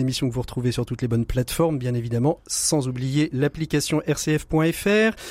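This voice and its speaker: The speech moves at a fairly quick pace with ordinary pitch variation and a dry, close sound with no echo. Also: man. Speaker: radio host. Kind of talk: radio magazine presenting and interviewing. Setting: radio studio.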